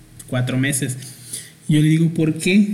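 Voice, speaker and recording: Talking at a fairly slow pace, a man with a fairly high voice shows ordinary pitch variation. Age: 30s. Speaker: podcast host, graphic designer. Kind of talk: casual chat.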